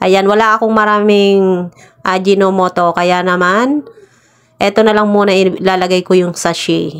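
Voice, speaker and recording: An unremarkable speaking voice comes from a woman at a medium pitch. Her intonation is fairly even and her loudness very even. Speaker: vlogger. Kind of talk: voice-over vlog narration. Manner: casual.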